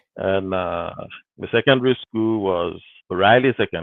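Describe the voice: A man's low voice with vocal fry, moderate pace and ordinary pitch variation, in a dry, close sound with no echo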